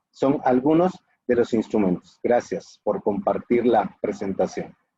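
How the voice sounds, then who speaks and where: Dark and mellow, a man's voice swings very widely in pitch while its loudness stays very even. The sound is dry and close, with no echo. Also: medium pitch for a man. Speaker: lecturer on human rights law. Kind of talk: lecture. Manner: fast.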